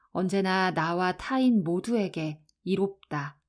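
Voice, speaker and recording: A woman's medium-pitched, calm, soothing voice with lively intonation at a very slow pace, on a very clean recording with a silent background. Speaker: audiobook narrator. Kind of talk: audiobook reading.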